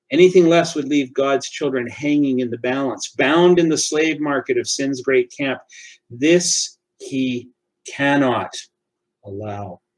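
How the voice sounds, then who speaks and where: At a fairly slow pace, a man with a fairly high pitch talks in an ordinary speaking voice with ordinary pitch variation. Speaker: church devotional reader. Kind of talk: fervent prayer, hushed and reverent, closing a devotional reading. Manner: slow, earnest, solemn, heartfelt; formal, measured.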